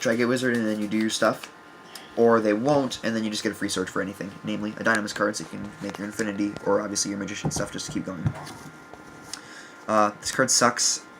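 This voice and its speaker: Over noticeable background noise, a man talks at a very fast pace with a fairly low pitch and fairly even intonation. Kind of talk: casual talk to camera, deck profile. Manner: hesitant, many fillers.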